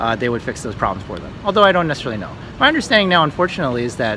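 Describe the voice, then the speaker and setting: A man with an American accent speaks very fast with lively intonation. Noticeable background noise runs behind him. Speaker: travel vlogger. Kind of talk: casual storytelling.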